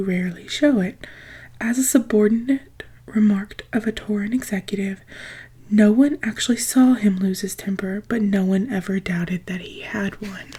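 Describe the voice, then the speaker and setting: Soft-spoken and whispering, a woman talks at a moderate pace. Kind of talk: ASMR book reading. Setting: close-mic studio. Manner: soft-spoken, whispery.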